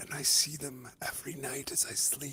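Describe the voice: A man whispering in a put-on character voice with a husky, rough edge, at a moderate pace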